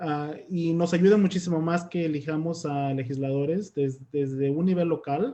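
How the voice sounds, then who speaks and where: The man has a dark, mellow tone with ordinary pitch variation. His pace is moderate. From Mexico. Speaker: immigrant rights activist. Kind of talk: panel discussion.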